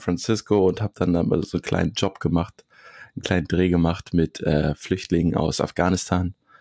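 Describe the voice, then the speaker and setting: A man's voice, very deep and low in pitch, comes at a moderate pace. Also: dry, close sound with no echo. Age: 30s. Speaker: cameraman and video editor. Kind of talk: casual interview. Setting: remote call.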